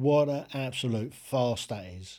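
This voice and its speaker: On a very clean recording with a silent background, a man with a British accent speaks in a dark, mellow tone with ordinary pitch variation. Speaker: podcast host ranting. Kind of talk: angry opinionated rant, solo monologue. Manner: indignant, emphatic, blunt; ranting, repeated phrases, talks straight to the listener.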